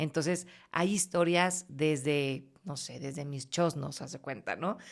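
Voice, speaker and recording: A woman with an unremarkable speaking voice, fairly low in pitch, at a moderate pace with ordinary pitch variation. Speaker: voice-over announcer (locutora). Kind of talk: casual interview answers, storytelling. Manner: warm, cheerful, expressive.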